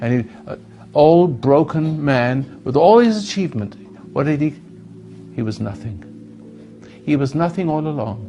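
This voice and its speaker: Over music in the background, a voice with lively intonation speaks at a moderate pace, leaving long, frequent pauses. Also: man, fairly high pitch for a man. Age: 80s+. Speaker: self-help speaker. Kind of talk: talk to an audience. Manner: halting.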